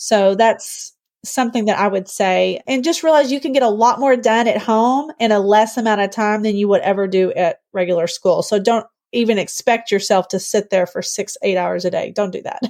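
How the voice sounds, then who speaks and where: A woman with an ordinary speaking voice, fairly high in pitch, with ordinary pitch variation at a moderate pace. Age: 40s. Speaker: homeschooling mother of seven. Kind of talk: podcast interview. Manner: casual, conversational.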